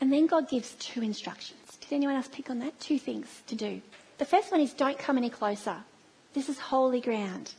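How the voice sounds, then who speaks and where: A woman speaks with an Australian accent. Her pitch is high, with ordinary variation. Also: moderate pace. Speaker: church speaker. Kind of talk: sermon. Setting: church.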